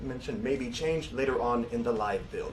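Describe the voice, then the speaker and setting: Over noticeable background noise, a man talks very fast in a fairly high voice with lively intonation. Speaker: game stream presenter. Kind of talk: game feature presentation.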